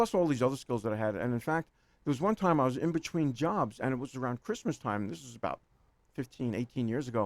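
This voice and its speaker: In a New York accent, a man talks at a very fast pace with lively intonation. His medium-pitched voice sounds dry and close with no echo. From New York City, Queens. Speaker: accountant. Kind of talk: radio interview. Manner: rambling, hesitant with repetitions.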